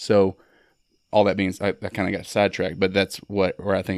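A man with a Mississippi accent, very deep and low in pitch, monotone and flat, at a very fast pace, in a very clean recording with a silent background. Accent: Mississippi Southern. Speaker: Marine veteran and artist. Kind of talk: casual chat. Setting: in-person recording in Starkville.

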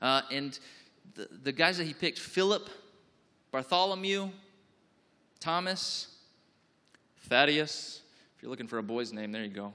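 This man talks at a moderate pace in a fairly high pitch, his animated, bright and sharp tone swinging very widely in pitch and greatly in loudness, with long, frequent pauses. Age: 30s. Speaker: pastor. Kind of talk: sermon.

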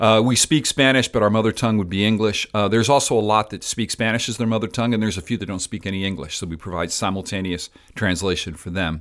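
Heard on a very clean recording with a silent background, a man with an American accent and a fairly low pitch talks at a very fast pace with ordinary pitch variation and hardly any pauses. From Miami, Florida (Cuban American family). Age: 60s. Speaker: pastor. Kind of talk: interview conversation.

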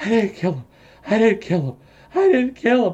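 At a moderate pace, a put-on character voice comes through at a fairly high pitch. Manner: muttering.

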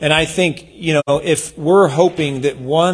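Somewhat breathy, a man talks with a fairly high pitch. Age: 40s. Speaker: pastor. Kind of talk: sermon. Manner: animated.

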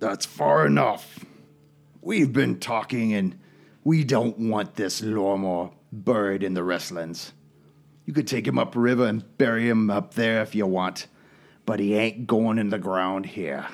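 A man puts on a character voice, pitched fairly low. He goes at a fairly slow pace on a very clean recording with a silent background. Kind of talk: rough, rural. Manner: commanding, firm.

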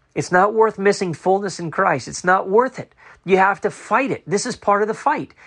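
A man talks at a moderate pace in a high pitch. The background is quiet. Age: 40s. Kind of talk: spoken testimony and commentary.

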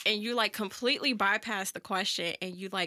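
Speaking with an American accent at a moderate pace, a woman uses a medium pitch with ordinary pitch variation and a bright, sharp tone. The recording is very clean with a silent background and a dry, close sound with no echo. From St. Louis area, Missouri (Florissant). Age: 20s. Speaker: writer and social media worker. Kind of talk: casual chat.

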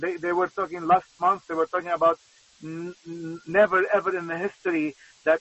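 Noticeable noise runs behind the talking, which moves at a moderate pace. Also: man. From Lebanon. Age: 50s. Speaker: pastor. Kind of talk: testimony. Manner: halting.

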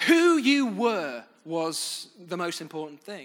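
A man's high, bright, sharp voice in a British accent, very slow, with very wide pitch swings. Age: 30s. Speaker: pastor. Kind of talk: sermon.

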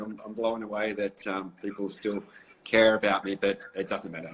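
This man has an Australian accent and a fairly low pitch. He speaks at a moderate pace. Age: 40s. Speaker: former pro surfer. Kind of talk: casual interview. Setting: Instagram live video call.

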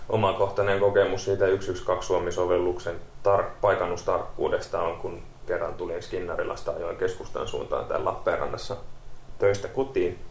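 A man talks at a moderate pace with audible room echo and noticeable background noise. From Kerava, Helsinki metropolitan area, Finland. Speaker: paramedic. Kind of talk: casual chat.

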